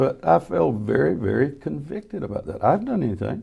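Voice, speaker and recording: A man with a Southern US accent speaks at a very fast pace and a medium pitch, his dark, mellow tone carrying vocal fry. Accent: Southern US (Georgia). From US South (Georgia). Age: 70s. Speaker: former state legislator. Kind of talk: casual chat.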